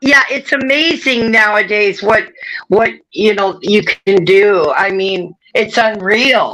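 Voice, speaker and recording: A woman's fairly high, bright, sharp voice in an American accent at a very slow pace. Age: 60s. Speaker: live stream participant. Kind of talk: casual chat.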